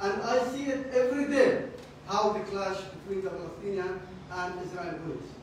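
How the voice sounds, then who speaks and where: A man with an Arabic accent and ordinary pitch variation, in strong room echo with light background noise. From Jerusalem. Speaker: Middle East studies scholar. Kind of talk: lecture. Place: meeting room. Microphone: camera far.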